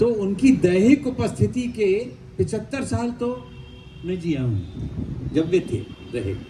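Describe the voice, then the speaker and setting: A man's high-pitched voice with very wide pitch swings, over noticeable background noise. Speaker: poet. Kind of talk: interview at literary festival.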